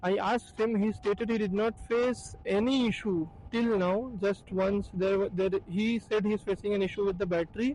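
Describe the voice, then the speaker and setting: A man speaks at a moderate pace with hardly any pauses, his pitch high. His intonation is fairly even and his loudness very even. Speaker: motor vehicle reviewer. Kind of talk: product review.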